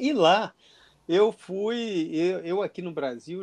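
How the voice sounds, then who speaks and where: A man speaks with a dry, close sound and no echo. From Brazil, inland Minas Gerais. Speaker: gynecologist and researcher. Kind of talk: interview. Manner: halting, repeats words.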